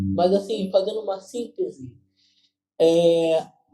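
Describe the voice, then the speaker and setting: Over music in the background, a man speaks at a very slow pace in a Carioca accent with ordinary pitch variation. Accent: carioca Brazilian Portuguese. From Rio de Janeiro, Brazil (west zone). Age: 20s. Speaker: gospel singer and keyboardist. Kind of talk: interview.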